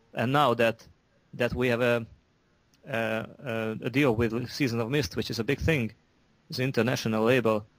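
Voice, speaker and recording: A man with a Hungarian accent speaks at a moderate pace and medium pitch, with fairly even intonation and long, frequent pauses, on a very clean recording with a silent background. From Hungary. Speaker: metal musician. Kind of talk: interview. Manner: halting, many repetitions.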